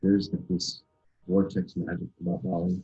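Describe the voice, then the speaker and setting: A soft-spoken man has a very deep, low pitch and a dark, mellow tone. His somewhat breathy voice moves at a moderate pace. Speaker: spiritual festival organizer, yogi. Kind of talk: interview answer.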